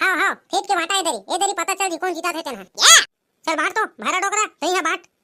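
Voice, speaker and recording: This woman uses a squeaky, cartoonish character voice at an extremely high pitch and talks at a very fast pace. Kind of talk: comic overacting. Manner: loud, rapid, bantering.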